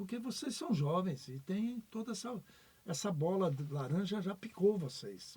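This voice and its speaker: A man with a high pitch and a dark, mellow tone speaks at a fairly slow pace with lively intonation. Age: 70s. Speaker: retired basketball referee. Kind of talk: podcast interview.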